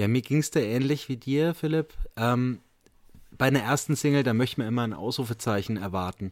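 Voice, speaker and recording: An ordinary speaking voice from a man at a fairly quick pace, with ordinary pitch variation and a dry, close sound with no echo. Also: medium pitch for a man. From Franconia, Bamberg. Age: 30s. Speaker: podcast host and teacher. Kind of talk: casual chat.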